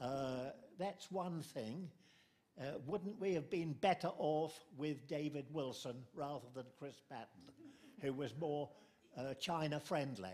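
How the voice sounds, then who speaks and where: A man with a British accent speaks at a very slow pace and fairly high pitch, with long, frequent pauses. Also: ordinary pitch variation. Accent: older British English. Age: 90s. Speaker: audience member asking questions. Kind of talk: Q&A question from audience. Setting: book talk with audience.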